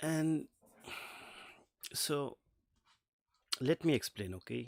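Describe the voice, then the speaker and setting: In a very clean, dry, close recording with no echo and a silent background, a man with a non-native accent speaks very slowly at a fairly high pitch. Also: lively intonation. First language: not English. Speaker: streamer reacting to videos. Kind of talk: casual live stream commentary. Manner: halting, many fillers; slight stutter.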